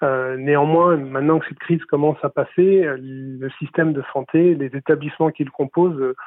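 Fairly even intonation runs through this man's speech. His pitch is fairly high. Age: 40s. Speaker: health sector business director, former biomedical engineer. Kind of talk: interview. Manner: halting, many fillers and repetitions.

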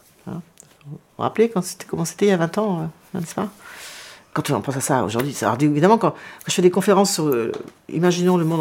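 A woman talks at a fairly quick pace in a plain, everyday voice. Her pitch is fairly low, and her intonation lively. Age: 60s. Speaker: documentary filmmaker and journalist. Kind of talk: interview. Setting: her living room.

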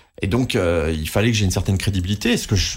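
A man with a very deep, low, somewhat breathy voice speaks at a fairly quick pace in a very clean recording with a silent background. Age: 30s. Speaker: radio host. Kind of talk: interview. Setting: studio.

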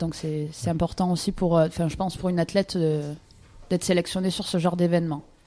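With a dark, mellow tone and fairly low pitch, a woman speaks at a fairly slow pace using fairly even intonation. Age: 20s. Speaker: ju-jitsu champion and judo coach. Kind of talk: radio interview.

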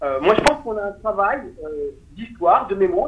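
This man speaks at a high pitch. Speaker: petition activist. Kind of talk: radio interview.

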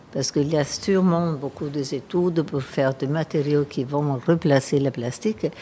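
Speaking at a moderate pace with hardly any pauses, this voice has an Italian accent and ordinary pitch variation. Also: woman, very deep, low pitch for a woman. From Italy. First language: Italian (speaking French). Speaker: gallerist and design curator. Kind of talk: interview. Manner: halting.

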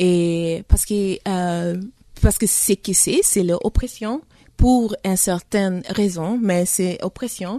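A woman with a medium pitch and a dark, mellow tone speaks at a very slow pace with ordinary pitch variation. The sound is dry and close with no echo, the recording very clean against a silent background. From Tanzania, Congolese family. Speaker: novelist. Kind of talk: interview. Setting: studio. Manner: halting.

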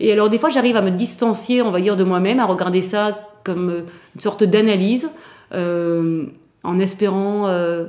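A normal speaking voice from a woman, pitched at a medium level and showing ordinary pitch variation. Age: 50s. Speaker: veterinarian. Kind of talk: personal testimony interview.

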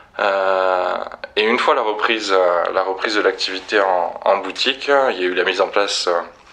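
A man's very deep, low voice in a flat monotone, with noticeable background noise. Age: 20s. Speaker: shop manager. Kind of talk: interview. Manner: halting, repeats words.

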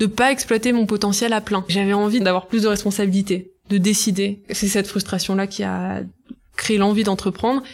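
A woman speaks at medium pitch in a monotone, flat intonation. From Brittany, France (Côtes d'Armor). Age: 30s. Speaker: entrepreneur, start-up founder. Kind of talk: interview.

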